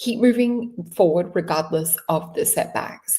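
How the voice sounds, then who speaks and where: In an Australian accent, a woman speaks with ordinary pitch variation. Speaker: tarot reader. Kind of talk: tarot reading. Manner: casual, conversational.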